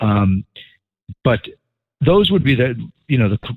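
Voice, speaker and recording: A man with a New York accent speaks at a fairly quick pace. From New York City suburbs. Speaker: podcast host. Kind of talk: casual chat.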